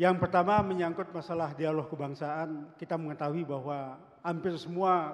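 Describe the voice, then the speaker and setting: A man's high voice keeps fairly even intonation at a moderate pace. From Indonesia. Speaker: university rector, audience member; audience member. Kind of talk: audience question. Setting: auditorium with audience. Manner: formal. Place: hall. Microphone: handheld.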